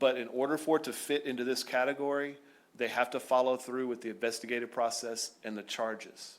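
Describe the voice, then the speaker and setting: A man's voice at medium pitch, with ordinary pitch variation. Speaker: school district administrator. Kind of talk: board meeting presentation. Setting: school board meeting. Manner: fast.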